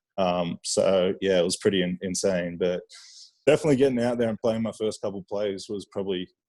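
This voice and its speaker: A fairly low-pitched man's voice, fairly quick, with ordinary pitch variation and a dry, close sound lacking echo. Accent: Australian. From Australia. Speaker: professional football player. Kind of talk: casual interview chat.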